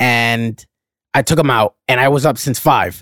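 Heard in a dry, close recording with no echo, a plain, everyday voice with an American accent carries ordinary pitch variation. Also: man, very clean recording, silent background. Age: 30s. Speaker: podcast host. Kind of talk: casual chat.

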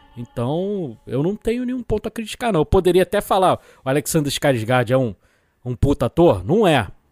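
Over music in the background, a man with a fairly high pitch talks at a moderate pace with very wide pitch swings, the sound dry and close with no echo. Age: 40s. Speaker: film podcast guest. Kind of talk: casual chat.

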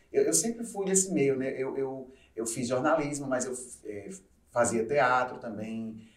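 A man speaks at a fairly slow pace with lively intonation. The room echo is audible. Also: medium pitch for a man. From João Pessoa, Paraíba, Brazil. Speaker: DJ. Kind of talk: casual chat.

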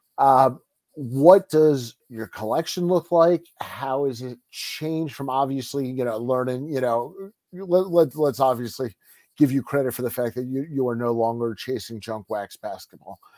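A man's voice of medium pitch with a dark, mellow tone, moderate pace and ordinary pitch variation, in a dry, close sound with no echo on a very clean recording with a silent background. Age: younger than 47. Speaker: sports card podcast host. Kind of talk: casual interview chat.

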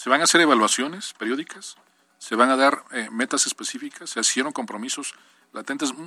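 A man's fairly high, bright, sharp voice at a fairly quick pace, with ordinary pitch variation. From Mexico, Puebla. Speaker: state government official. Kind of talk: radio interview. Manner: halting, repeats words.

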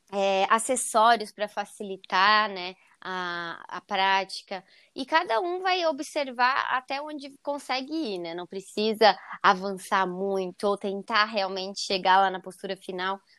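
Recorded very cleanly against a silent background, a woman speaks at a fairly slow pace in a medium pitch with a bright, sharp tone, ordinary pitch variation and big swings in loudness. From Santa Catarina, Brazil (Joinville). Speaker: yoga teacher. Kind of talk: casual interview.

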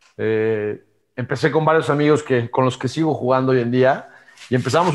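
Speaking at a moderate pace, a man with medium pitch shows ordinary pitch variation. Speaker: former amateur golfer and entrepreneur. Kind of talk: interview. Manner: halting, many fillers and repetitions.

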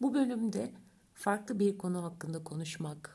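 A woman talks at a fairly slow pace with lively intonation. Her tone is dark and mellow, and somewhat breathy. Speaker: astrologer podcaster. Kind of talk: solo podcast monologue. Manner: dramatic, theatrical delivery.

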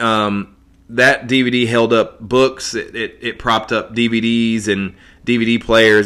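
A man speaks with an American accent. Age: 30s. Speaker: artist. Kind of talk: personal monologue. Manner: halting, many fillers and repeats.

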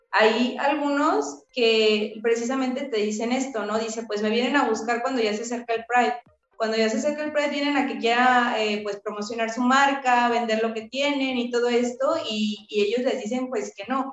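Hardly pausing, a high-pitched woman speaks at a moderate pace with fairly even intonation. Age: 20s. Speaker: lawyer and activist. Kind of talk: casual chat.

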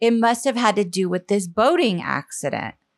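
On a very clean recording with a silent background, a woman speaks with an American accent at a moderate pace. Hers is a normal speaking voice, fairly high in pitch with ordinary pitch variation. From US South, Charleston, South Carolina. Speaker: comedic performer and writer. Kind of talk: casual chat.

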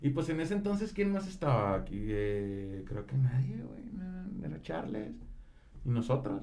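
Audible room echo surrounds a man whose dark, mellow, somewhat breathy voice makes very wide pitch swings. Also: medium pitch for a man, fairly slow pace. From Monterrey, Mexico. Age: 20s. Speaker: rapper. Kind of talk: casual chat.

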